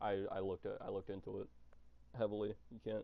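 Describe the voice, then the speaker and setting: A man speaks at a fairly low pitch. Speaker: gaming streamer. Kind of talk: live gameplay stream chat. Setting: live stream. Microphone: muffled cheap earbud mic.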